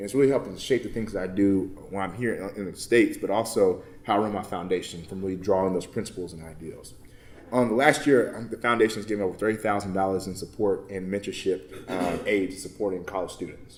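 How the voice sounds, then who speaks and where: Talking at a very fast pace, a man with a fairly low pitch shows ordinary pitch variation and big swings in loudness. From Texas, Baytown near Houston. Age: 20s. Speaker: motivational speaker and nonprofit founder. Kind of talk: conference talk. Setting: conference session with audience. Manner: casual, conversational.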